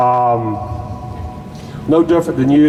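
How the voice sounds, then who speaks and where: Against noticeable background noise, a man with a North Carolina accent talks with ordinary pitch variation. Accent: Southern US (North Carolina). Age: 60s. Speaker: activist group member, veteran. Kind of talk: rally speech. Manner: halting.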